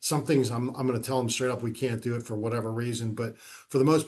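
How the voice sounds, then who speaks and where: Speaking very fast with an American accent, a man uses a medium pitch, fairly even intonation and a somewhat breathy voice. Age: 60s. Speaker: police chief. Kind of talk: podcast interview. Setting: video podcast. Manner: conversational.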